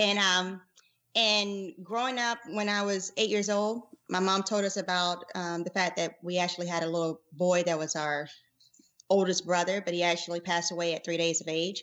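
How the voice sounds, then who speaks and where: This woman's pitch is medium and her intonation fairly even. She has an American accent and talks at a moderate pace. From US South, rural South Carolina. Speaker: podcast co-host, physician. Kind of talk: casual chat.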